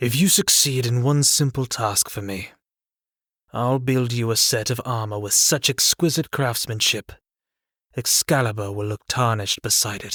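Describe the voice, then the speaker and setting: In a gruff, put-on character voice, a man speaks at a medium pitch and a moderate pace with ordinary pitch variation. The recording is very clean and silent in the background, dry and close with no echo. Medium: read story. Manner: gruff, blunt.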